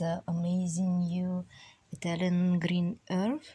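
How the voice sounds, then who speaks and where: A woman speaks at a very slow pace. Her tone is dark and mellow, and somewhat breathy. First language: Russian. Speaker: artist reviewing oil paints. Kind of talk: tutorial. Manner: halting, many fillers.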